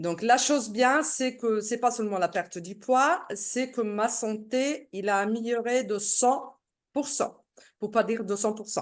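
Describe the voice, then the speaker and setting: Against a quiet background, a woman speaks very slowly. Her pitch is fairly high, with ordinary variation. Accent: Italian. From Italy. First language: Italian (speaking French). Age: 60s. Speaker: product seller giving testimony. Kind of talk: testimony. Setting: video call. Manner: halting.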